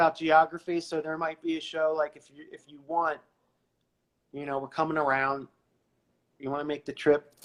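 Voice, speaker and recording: A man with an eastern Pennsylvania accent speaks in a monotone, flat intonation. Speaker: rock musician. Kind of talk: casual chat.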